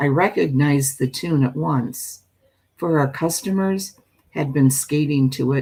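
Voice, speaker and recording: The tone is tired, dark and mellow. Delivery is fairly slow with ordinary pitch variation. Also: woman. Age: old. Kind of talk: spooky story reading. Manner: tired, sleepy.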